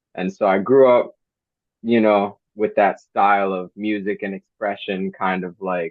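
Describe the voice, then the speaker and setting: Speaking at a fairly slow pace with fairly even intonation, a man talks in a New Jersey accent. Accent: New Jersey American. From New Jersey, US. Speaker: hip hop artist. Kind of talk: interview. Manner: casual, halting with fillers.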